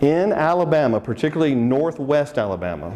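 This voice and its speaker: Noticeable background noise sits behind a man speaking. He keeps a moderate pace with lively intonation. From Texas. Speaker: seminar speaker. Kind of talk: seminar presentation. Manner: animated, conversational.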